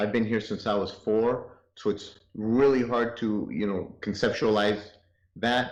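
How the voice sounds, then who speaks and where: Audible room echo surrounds a man speaking with a Spanish accent. His pitch is medium. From North Hollywood, Los Angeles; born in Chihuahua, Mexico. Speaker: interview guest. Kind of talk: interview.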